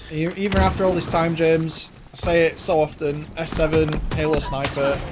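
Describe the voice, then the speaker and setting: A man with a fairly high pitch keeps his intonation fairly even, noticeable background noise audible behind him. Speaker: esports caster. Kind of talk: live commentary.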